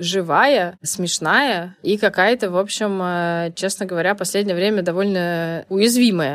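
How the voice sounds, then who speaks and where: A plain, everyday voice from a woman at medium pitch, fairly slow pace, in a very clean recording with a silent background. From Saint Petersburg, Russia. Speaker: life coach. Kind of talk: interview conversation.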